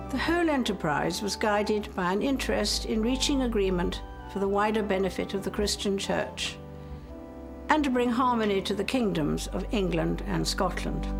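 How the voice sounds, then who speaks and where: A woman talks at a moderate pace with very even loudness while music plays in the background. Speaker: head of state. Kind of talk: formal Christmas address. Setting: chapel. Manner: measured, formal.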